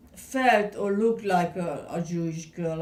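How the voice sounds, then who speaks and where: A woman's fairly low voice with a Hungarian accent and lively intonation, at a very slow pace, in audible room echo. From Hungary, Budapest. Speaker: Holocaust survivor. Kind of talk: oral history interview. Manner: halting.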